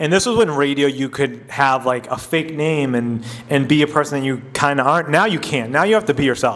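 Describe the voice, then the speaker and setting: A man speaking in an American accent has a fairly high pitch, with noticeable background noise behind him. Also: ordinary pitch variation, fairly quick pace, hardly any pauses. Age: 40s. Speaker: radio personality and podcaster. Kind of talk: casual interview chat. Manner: conversational, many fillers.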